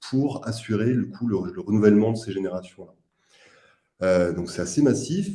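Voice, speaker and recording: His tone is dark and mellow, with a fairly low pitch for a man. He leaves long, frequent pauses. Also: moderate pace. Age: 30s. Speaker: startup co-founder. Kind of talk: investor presentation. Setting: live video meeting.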